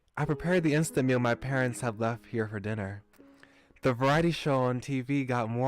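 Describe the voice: Pitch moves in an ordinary way as the text is plainly read out.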